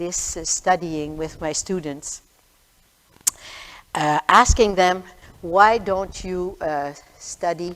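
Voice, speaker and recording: Someone with a Quebec accent speaks at a very slow pace with ordinary pitch variation. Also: woman. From Quebec, Montreal. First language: French. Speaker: retired history teacher. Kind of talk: talk to a congregation. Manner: halting.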